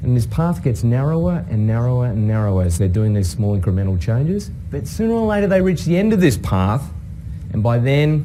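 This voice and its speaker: Speaking at a fairly quick pace with an Australian accent, a man with a fairly low pitch swings his pitch very widely amid noticeable background noise and audible room echo. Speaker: innovation professor and consultant. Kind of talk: talk to an audience.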